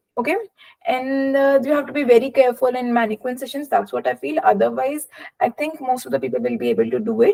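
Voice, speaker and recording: A woman with an Indian accent speaks at a fairly quick pace in a high pitch. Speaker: doctor sharing exam experience. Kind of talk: webinar talk. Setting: online webinar. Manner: hesitant, many fillers.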